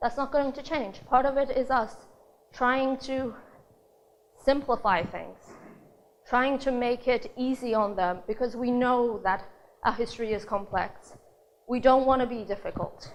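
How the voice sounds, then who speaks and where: A woman speaks with a high pitch at a fairly slow pace. Her speech has long, frequent pauses. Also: ordinary pitch variation. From Australia. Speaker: conference speaker. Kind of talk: talk to a live audience.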